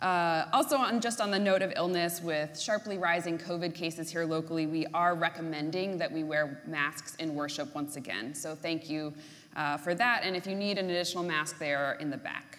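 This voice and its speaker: This woman has an ordinary speaking voice, fairly low in pitch with ordinary pitch variation. She keeps a moderate pace with hardly any pauses. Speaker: minister. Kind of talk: worship service announcements. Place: church.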